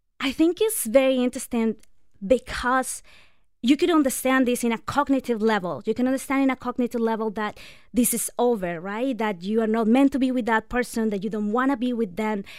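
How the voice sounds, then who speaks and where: A woman with a non-native accent, fairly high in pitch, at a fairly quick pace with ordinary pitch variation. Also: very clean recording, silent background. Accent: foreign-accented English. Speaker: breakup and divorce recovery coach. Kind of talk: radio interview advice. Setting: radio studio.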